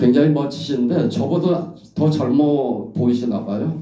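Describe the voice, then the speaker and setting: Amid audible room echo, a man speaks at a very slow pace with ordinary pitch variation. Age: 70s. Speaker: professor. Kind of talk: anecdotal talk at a memorial gathering.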